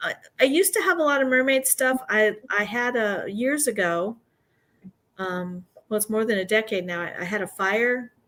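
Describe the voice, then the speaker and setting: A woman speaks in a plain, everyday voice at a fairly high pitch. Her intonation is lively and her pace moderate. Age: 60s. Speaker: retired art teacher and crafter. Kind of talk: casual chat. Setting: livestream.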